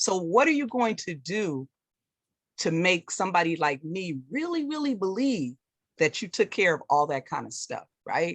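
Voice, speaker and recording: A woman speaks at a medium pitch and a moderate pace, her pitch swinging very widely. The sound is dry and close with no echo, and the background is quiet. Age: 60s. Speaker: college instructor. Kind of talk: question at open forum. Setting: video call.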